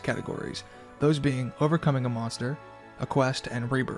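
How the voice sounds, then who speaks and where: With music in the background, a man at medium pitch talks at a very fast pace. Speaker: video essayist. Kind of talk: video essay narration.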